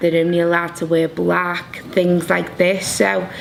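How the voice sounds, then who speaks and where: A woman with a Liverpool accent speaks at a fairly low pitch in a monotone, flat way at a moderate pace, with noticeable background noise. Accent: Liverpool (Scouse) English. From Liverpool, England. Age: 30s. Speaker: fashion design graduate. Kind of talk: interview.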